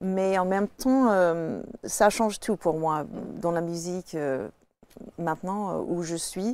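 A woman talks at a very slow pace, her pitch fairly low. She pauses long and often, and the sound is dry with no echo. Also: ordinary pitch variation. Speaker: jazz singer; talk show guest. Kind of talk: casual chat. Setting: studio. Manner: halting. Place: studio.

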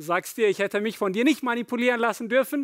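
The speaker is a man. Behind him the background is quiet. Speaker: pastor. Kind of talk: sermon. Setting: church. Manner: warm, personal, storytelling, animated. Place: church. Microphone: headset.

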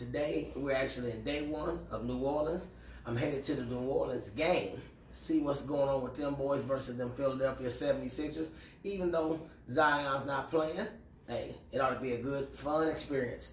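Audible room echo and light background noise surround a man. He speaks at a moderate pace with ordinary pitch variation. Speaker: fragrance vlogger. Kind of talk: casual vlog chat. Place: home room. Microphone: camera far.

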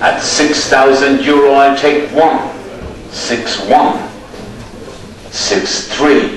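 This man's voice sits fairly high in pitch. Light background noise and audible room echo surround it. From Ireland, county Roscommon. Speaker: livestock auctioneer. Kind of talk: livestock auction calling. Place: market. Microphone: pa.

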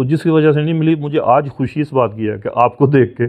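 A man talks with ordinary pitch variation. Behind him, the background stays quiet. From Pakistan, Punjab. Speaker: retired scientist and consultant; guest. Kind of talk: interview. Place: home room.

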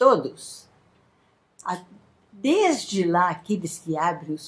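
A woman speaks at a very slow pace in a somewhat breathy voice. Her pitch varies in an ordinary way. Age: 80s+. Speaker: psychologist and amateur pianist. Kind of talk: spoken dedication to hospital staff. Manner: warm, grateful. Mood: grateful, earnest. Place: home room. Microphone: phone near.

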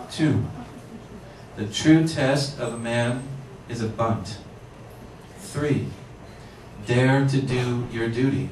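A man talks at a very slow pace with long, frequent pauses and fairly even intonation. There is audible room echo and light background noise. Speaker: poet reading. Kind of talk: poetry reading to a live audience, performed. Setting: bookshop reading, with microphone. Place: shop.

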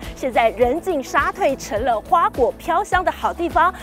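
The recording is dry, with no echo. Behind the voice, clear music plays. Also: woman. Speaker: TV news reporter. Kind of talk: news stand-up report. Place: open country.

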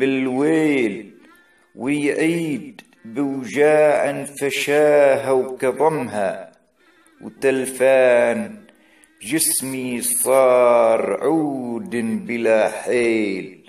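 Over music in the background, a man speaks at a very slow pace in a fairly high voice with ordinary pitch variation. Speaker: poet and reciter. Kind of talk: poetry reading.

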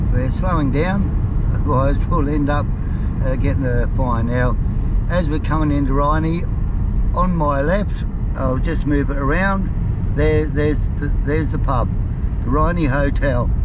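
The speech moves at a fairly slow pace over loud background noise. The sound is dry, with no echo. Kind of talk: casual travel commentary. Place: car. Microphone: phone near.

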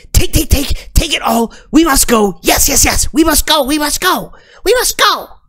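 A man puts on a character voice pitched extremely high and speaks at a fairly slow pace. Music plays in the background. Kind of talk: tabletop role-play character voice. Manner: urgent, repetitive.

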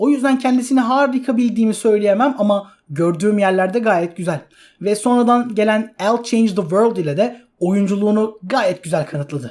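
Hardly any pauses break up talk delivered at a moderate pace. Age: 20s. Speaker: YouTuber, film and anime reviewer. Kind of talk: video review monologue.

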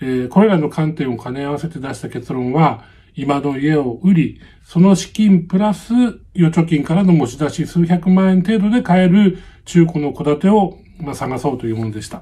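This man has a fairly high voice with a dark, mellow tone. His intonation is lively, and his loudness swings widely. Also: moderate pace. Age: 60s. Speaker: YouTuber. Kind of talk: vlog-style talk on real estate advice. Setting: home. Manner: many filler words, hesitant. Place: home room. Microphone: phone near.

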